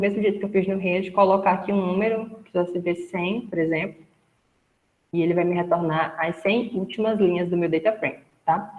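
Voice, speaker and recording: With an ordinary speaking voice, a woman talks at a fairly quick pace in a medium pitch. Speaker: instructor. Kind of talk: lecture.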